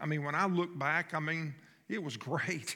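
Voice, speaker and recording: Speaking with a Southern US accent, a man uses a high pitch, a bright, sharp tone, ordinary pitch variation, and a moderate pace. The recording is very clean, with a silent background. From North Florida. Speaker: pastor. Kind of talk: sermon. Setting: church. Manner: conversational.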